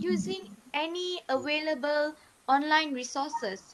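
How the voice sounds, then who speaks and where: With a Malaysian accent, a woman speaks at a high pitch and a very slow pace. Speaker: university student. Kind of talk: class presentation.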